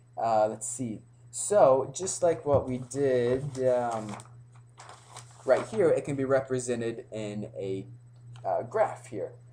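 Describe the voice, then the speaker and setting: Audible room echo surrounds a man of medium pitch with ordinary pitch variation. He speaks at a very slow pace, with long, frequent pauses. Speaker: pre-algebra teacher. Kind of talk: lecture. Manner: hesitant, many fillers.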